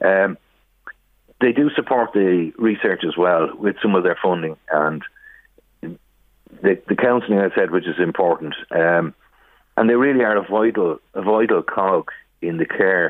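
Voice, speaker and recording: In an Irish accent, a man speaks at a fairly slow pace with a fairly low pitch and ordinary pitch variation. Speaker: brother of a charity fundraiser. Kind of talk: radio phone interview. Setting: phone call.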